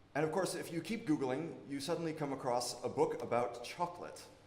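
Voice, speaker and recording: Very fast speech comes from a man with an American accent and ordinary pitch variation, recorded with audible room echo and noticeable background noise. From United States. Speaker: academic researcher. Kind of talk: conference presentation. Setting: workshop talk with audience, amplified. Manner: loud.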